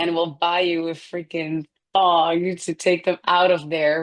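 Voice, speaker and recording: A woman with a Dutch accent and fairly low pitch, against a quiet background. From Netherlands. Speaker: food company founder. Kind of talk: casual interview.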